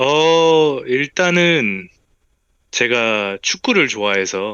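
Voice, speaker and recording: Very slow delivery with very wide pitch swings. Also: man, medium pitch for a man. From South Korea, abroad from age 13. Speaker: interviewee, engineering graduate. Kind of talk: interview.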